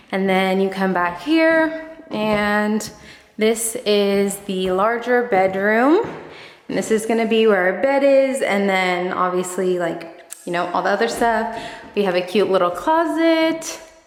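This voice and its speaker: Amid noticeable background noise and audible room echo, the voice moves at a fairly slow pace with lively intonation. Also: woman, medium pitch for a woman. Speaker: home decor vlogger. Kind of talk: casual vlog house tour. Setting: empty house, echoey rooms.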